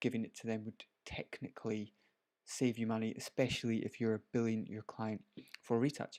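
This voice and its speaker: With a Scottish accent, the speaker delivers flat, monotone lines at a moderate pace in a dry, close sound with no echo. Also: man, medium pitch for a man. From Scotland. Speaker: photographer. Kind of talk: live stream tutorial. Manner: casual, chatty.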